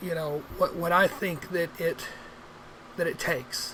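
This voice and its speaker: Noticeable background noise accompanies a voice with an American accent. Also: woman. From Arkansas River Valley, US South. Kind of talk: casual vlog. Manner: halting, many fillers.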